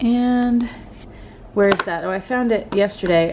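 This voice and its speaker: Noticeable background noise is present in this recording. Through it, a woman speaks. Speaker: lifestyle vlogger; teacher. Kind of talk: casual vlog. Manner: calm, somewhat monotone; calm, not bubbly.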